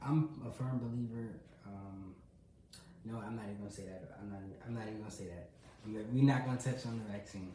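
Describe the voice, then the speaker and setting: Amid noticeable background noise and audible room echo, a man speaks at a fairly quick pace in a fairly low pitch, with fairly even intonation, long, frequent pauses and big swings in loudness. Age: 20s. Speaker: podcaster and part-time real estate agent. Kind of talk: casual solo livestream podcast. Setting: live stream.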